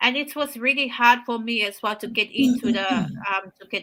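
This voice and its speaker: Speaking with a Samoan accent, a woman uses a fairly high voice. Her pace is moderate and her pitch varies in an ordinary way. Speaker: healthcare worker and online business owner. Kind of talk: casual chat.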